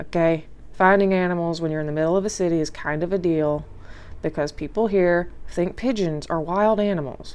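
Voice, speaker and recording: With a Louisiana accent, a woman talks at a fairly quick pace and fairly low pitch. Her intonation is fairly even, and the room echo is audible. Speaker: nature vlogger. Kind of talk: casual voice-over commentary.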